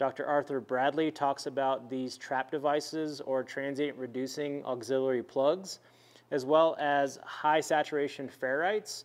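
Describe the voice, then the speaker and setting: A man's fairly slow delivery with fairly even intonation. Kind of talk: tutorial. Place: garage.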